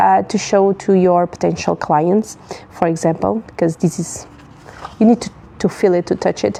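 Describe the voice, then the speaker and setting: A woman talks at medium pitch with a non-native accent. Her intonation stays fairly even. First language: not English. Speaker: paper stationery business owner. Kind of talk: live tutorial. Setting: livestream. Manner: halting, many fillers and restarts.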